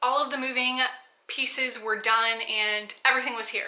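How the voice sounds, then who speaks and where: A woman with an American accent speaks at a fairly high pitch in a monotone, flat way, with noticeable background noise behind her. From South Florida. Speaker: lifestyle vlogger. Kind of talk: casual vlog monologue. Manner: fast.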